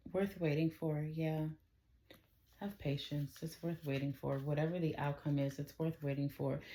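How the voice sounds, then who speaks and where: Soft-spoken delivery comes at a moderate pace. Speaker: tarot reader. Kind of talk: tarot reading.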